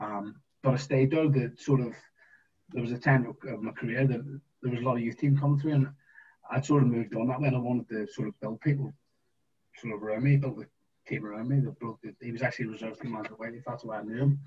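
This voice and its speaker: This man has a medium pitch and fairly even intonation. He talks at a very fast pace but with long, frequent pauses. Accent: Northern Irish. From Northern Ireland, East Belfast. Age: 40s. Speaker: former footballer. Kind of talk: casual interview.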